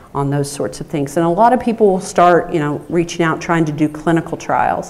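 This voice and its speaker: Over noticeable background noise, a woman with a Southern US accent speaks at a moderate pace, her pitch fairly low with ordinary variation. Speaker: rare disease advocate, research center director. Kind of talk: conference panel talk.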